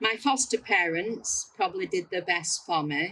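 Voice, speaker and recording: A woman with a Lancashire accent. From northern England (Bolton, Lancashire). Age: 70s. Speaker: adoptee sharing life story. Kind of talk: testimony. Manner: halting.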